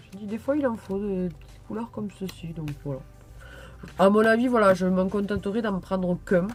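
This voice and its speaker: Medium pitch from a woman, with the usual amount of rise and fall. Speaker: YouTuber showing purchases. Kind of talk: haul video, casual chat to camera. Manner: hesitant, many fillers.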